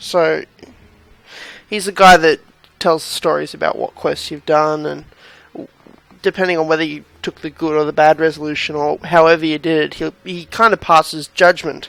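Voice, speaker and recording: A man with a fairly high pitch, fairly even intonation, and a moderate pace with long, frequent pauses, in a dry, close sound with no echo. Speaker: gaming video creator. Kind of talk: let's play commentary. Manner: monotone; halting.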